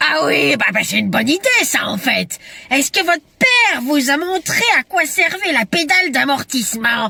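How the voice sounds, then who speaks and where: Someone does a put-on character voice at a high pitch. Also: moderate pace. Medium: comedy sketch. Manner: theatrical, teasing.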